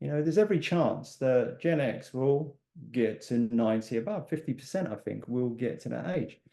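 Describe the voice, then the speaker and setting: In an English accent, a man talks with lively intonation and a dark, mellow tone. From England. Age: 60s. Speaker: life and business coach. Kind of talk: podcast interview.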